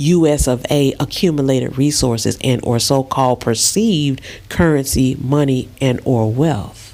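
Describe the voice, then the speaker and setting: A woman's very deep, low voice with a Southern US accent, animated in tone, fairly slow, with ordinary pitch variation. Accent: southern US drawl. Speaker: spiritual vlogger. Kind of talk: casual vlog monologue. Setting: lying in bed in a dark room.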